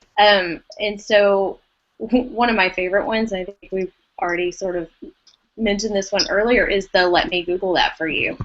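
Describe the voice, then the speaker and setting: A woman talks with an East Texas accent. Her pace is moderate. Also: medium pitch for a woman, ordinary pitch variation. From East Texas, US. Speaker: educator, former language arts teacher. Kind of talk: casual podcast discussion.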